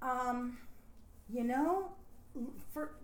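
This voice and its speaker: Over noticeable background noise, a woman with an American accent speaks with very wide pitch swings. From US Northeast, near Scranton, Pennsylvania. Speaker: retired Broadway dancer. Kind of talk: interview.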